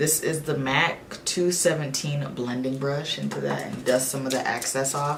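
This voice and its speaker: A woman speaks with a very deep, low pitch. There is noticeable background noise and audible room echo. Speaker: beauty vlogger. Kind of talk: makeup tutorial with casual chat. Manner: flat, deadpan; relaxed, nonchalant.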